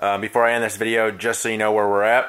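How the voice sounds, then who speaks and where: A man talks at a fairly quick pace with a medium pitch. His tone is bright and sharp. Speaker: hobby mechanic vlogger. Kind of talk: casual workshop vlog.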